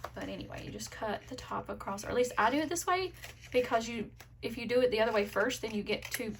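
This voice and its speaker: A woman talks at a fairly quick pace with fairly high pitch. Background noise is noticeable. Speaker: planner and sticker content creator. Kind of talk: casual craft tutorial vlog. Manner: fast; casual with fillers.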